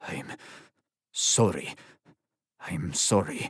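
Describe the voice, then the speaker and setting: A man's raspy, put-on character voice at a fairly low pitch. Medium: read story. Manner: clipped, tense.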